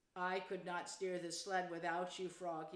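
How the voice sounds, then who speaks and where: This is a put-on character voice at a moderate pace. The intonation stays monotone and flat. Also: woman, medium pitch for a woman. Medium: read story. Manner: emotional, exaggerated.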